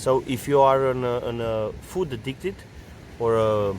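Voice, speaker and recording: A man is speaking. He has a Romanian accent. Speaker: artist and travel vlogger. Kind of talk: travel tips monologue. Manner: halting, many fillers and repetitions.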